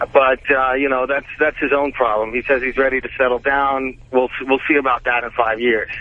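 Noticeable background noise sits under a man's medium-pitched voice. He speaks at a moderate pace in a flat monotone with hardly any pauses. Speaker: caller. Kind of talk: call-in radio talk. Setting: phone call.

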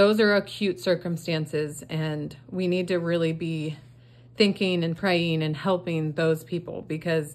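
Her pitch is fairly low and her intonation fairly even. The woman talks at a moderate pace. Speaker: craft seller, budgeting creator. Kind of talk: casual vlog chat. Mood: earnest, sympathetic. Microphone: phone near.

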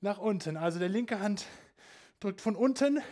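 A man's high-pitched voice over a quiet background. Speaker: fitness instructor. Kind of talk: workout instruction. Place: home room.

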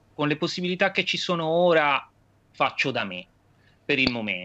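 Here a man with fairly high pitch and a bright, sharp tone speaks at a moderate pace. His pitch swings very widely. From Tuscany, Viareggio; Tuscany. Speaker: singer-songwriter and teacher; teacher. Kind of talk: interview. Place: home room. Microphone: video call.

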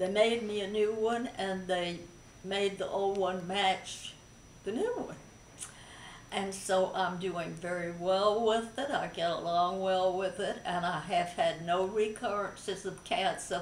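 With audible room echo and light background noise, a woman speaks at a fairly slow pace in fairly even intonation. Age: 80s+. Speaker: breast cancer survivor. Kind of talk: interview answer. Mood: calm, positive, reflective. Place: home room. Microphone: camera far.

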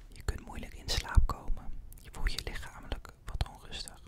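A man whispers at a fairly slow pace. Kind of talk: role-play consultation, calm soft talk. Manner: soft, close-mic ASMR doctor voice. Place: home room. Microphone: studio mic.

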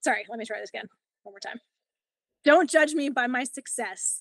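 A woman talks at a fairly quick pace with ordinary pitch variation, her dry sound free of echo against a quiet background. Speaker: yoga teacher. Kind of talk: interview. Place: home room. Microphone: video call.

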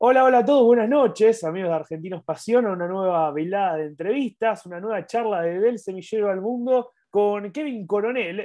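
Lively intonation from a man at a fairly quick pace, over a quiet background. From Argentina. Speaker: sports channel interviewer. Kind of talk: interview. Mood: friendly, upbeat. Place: home room. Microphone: earbuds.

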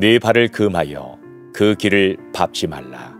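Music plays in the background while a man speaks with lively intonation at a fairly low pitch. The sound is dry, with no echo. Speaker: pastor and former broadcast voice actor. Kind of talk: Bible reading. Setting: studio, with piano music in the background. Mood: warm, gently expressive.

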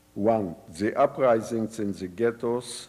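A man speaks at a very slow pace in a fairly low pitch with a dark, mellow tone. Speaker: Holocaust survivor and former resistance fighter. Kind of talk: lecture. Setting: stage with audience.

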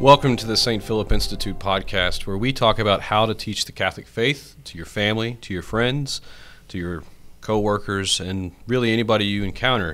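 A fairly low-voiced man at a fairly quick pace, with big swings in loudness and faint music in the background. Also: ordinary pitch variation. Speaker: priest podcast host. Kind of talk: podcast intro and discussion. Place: studio. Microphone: studio mic.

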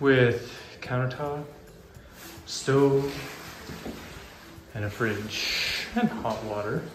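Over music in the background and audible room echo, a man talks at a very slow pace with fairly even intonation and long, frequent pauses. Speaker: motorcycle travel vlogger. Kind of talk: casual vlog chat. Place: home room. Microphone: phone near.

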